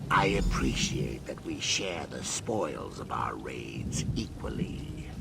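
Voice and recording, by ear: Whispering in a cartoonish character voice, a man speaks at a fairly slow pace over loud background noise.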